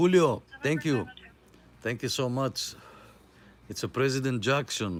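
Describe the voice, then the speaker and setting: A man with a Greek accent speaks at medium pitch and a fairly slow pace, with ordinary pitch variation and long, frequent pauses. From Greece. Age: 50s. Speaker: CB radio net host. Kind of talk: live radio chat. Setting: live stream with CB radio. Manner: casual, hesitant with many fillers.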